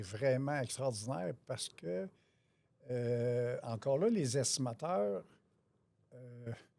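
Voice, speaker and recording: The speech is very slow, and the pitch varies in an ordinary way. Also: man, long, frequent pauses, big swings in loudness. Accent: Quebec. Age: 60s. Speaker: auto body estimator. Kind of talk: interview.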